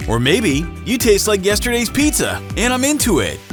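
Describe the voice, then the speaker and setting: An upbeat tone comes through at a fairly slow pace, with music in the background. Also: man. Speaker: voice actor and comedian. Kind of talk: comedic edutainment talk to camera. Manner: upbeat, jokey.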